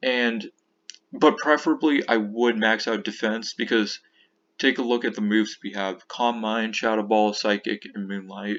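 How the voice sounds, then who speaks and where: In a quiet background, a man of medium pitch talks at a moderate pace. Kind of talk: casual game strategy talk. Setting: low-quality computer microphone. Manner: enthusiastic.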